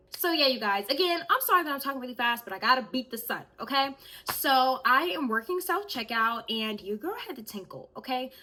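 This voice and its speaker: Raising and projecting her voice, a woman with a high pitch and a bright, sharp tone talks at a very fast pace, with big swings in loudness and very wide pitch swings. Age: 20s. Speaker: YouTuber. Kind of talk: storytime vlog. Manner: animated.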